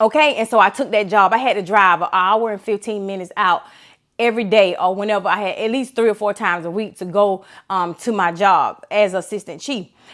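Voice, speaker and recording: Speaking at a fairly quick pace, a woman with a medium pitch uses an animated tone. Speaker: motivational speaker, former law enforcement officer. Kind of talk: inspirational talk. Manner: fast.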